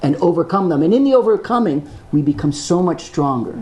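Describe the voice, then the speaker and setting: A high-pitched male voice against noticeable background noise. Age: 60s. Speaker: film sound designer. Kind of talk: panel discussion with students.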